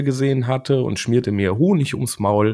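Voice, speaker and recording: A man talks at medium pitch in an unremarkable speaking voice. The recording is very clean, and the background is silent. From Germany, Siegen. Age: 30s. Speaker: board game illustrator. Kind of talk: casual interview.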